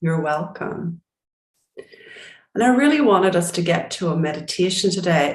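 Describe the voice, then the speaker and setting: At a moderate pace, a woman with an unremarkable speaking voice talks at a fairly low pitch. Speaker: business coach. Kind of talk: group coaching call. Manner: calm.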